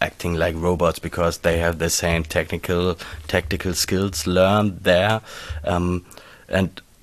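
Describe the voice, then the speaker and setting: A man with a German accent speaks in a very deep, low voice, his intonation fairly even. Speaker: podcast co-host. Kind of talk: interview. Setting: recorded in a fan shop.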